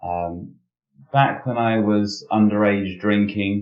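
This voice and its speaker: A man talks at a very slow pace. His fairly low voice stays monotone and flat. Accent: British. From Britain. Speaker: security professional. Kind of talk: interview. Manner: hesitant, many fillers.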